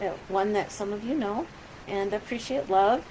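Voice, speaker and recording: A woman speaks with a medium pitch and ordinary pitch variation. Noticeable background noise is present. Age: 60s. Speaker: pastor. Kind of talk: casual video message to congregation. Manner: halting, many fillers.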